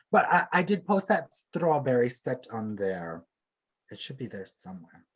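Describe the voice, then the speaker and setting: Pitched at a medium level, a man's voice carries vocal fry and very wide pitch swings. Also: moderate pace, big swings in loudness. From Alberta, Canada (Plains Cree). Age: 20s. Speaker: beadwork artist. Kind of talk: casual chat.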